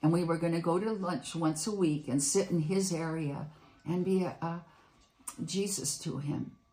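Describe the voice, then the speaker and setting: Her voice is dark and mellow, somewhat breathy and fairly low in pitch, as the woman speaks with ordinary pitch variation. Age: 80s+. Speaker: retired bookseller sharing faith stories. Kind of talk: testimony. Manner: halting.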